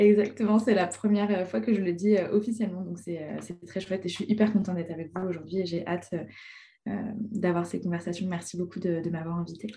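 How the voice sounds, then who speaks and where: Hardly pausing, a woman talks at a fairly quick pace in a medium pitch, her somewhat breathy voice dark and mellow in tone, with fairly even intonation. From France, Ain. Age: 20s. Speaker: teacher. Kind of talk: casual chat.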